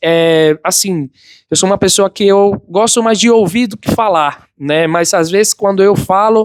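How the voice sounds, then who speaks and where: With a slight non-native accent, a man speaks fairly slowly in a high voice, recorded with a dry, close sound and no echo. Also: ordinary pitch variation. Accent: foreign accent in Portuguese, slight. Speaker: migrant restaurant worker. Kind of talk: interview answers. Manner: hesitant, with fillers.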